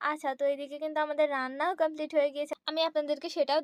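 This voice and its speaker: A woman's high, monotone voice with flat intonation, dry and close with no echo. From Bangladesh, Noakhali. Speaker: vlogger. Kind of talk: casual vlog narration.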